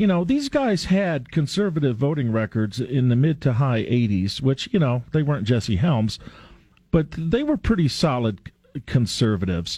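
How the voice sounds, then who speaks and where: A man with a medium-pitched, somewhat breathy voice and a dark, mellow tone speaks at a moderate pace, his pitch swinging very widely while his loudness stays very even. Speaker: radio host. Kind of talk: live radio talk show with callers. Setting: radio studio, phone-in show.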